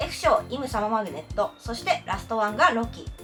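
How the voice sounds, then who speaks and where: Music plays in the background as a woman speaks in an upbeat tone at a moderate pace. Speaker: freelance announcer. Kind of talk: casual talk to camera.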